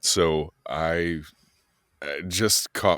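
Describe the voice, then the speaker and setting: A man's very deep, low voice with an American accent and vocal fry. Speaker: voice-over artist. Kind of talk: interview answer. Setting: podcast interview. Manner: storytelling, reflective.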